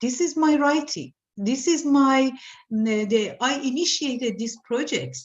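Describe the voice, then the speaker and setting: A woman with a strong Iranian accent speaks fairly slowly at a high pitch. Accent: Iranian accent, heavy. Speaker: artist. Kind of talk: interview. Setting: video call. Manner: halting.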